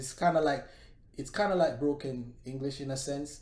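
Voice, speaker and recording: There is audible room echo as a man speaks in a dark, mellow tone at a fairly high pitch. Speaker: live show co-host. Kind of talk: casual discussion.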